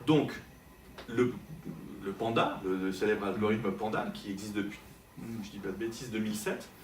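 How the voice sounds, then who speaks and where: Over noticeable background noise and audible room echo, a man speaks at a fairly low pitch in a flat monotone, with long, frequent pauses. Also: moderate pace. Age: 40s. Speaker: digital marketing consultant and trainer. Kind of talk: interview. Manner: hesitant, many fillers.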